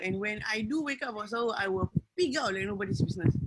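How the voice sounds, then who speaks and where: Lively in intonation and very fast in pace, a woman speaks with a fairly high pitch. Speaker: wellness program participant. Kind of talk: testimony. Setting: video call. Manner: loud; animated.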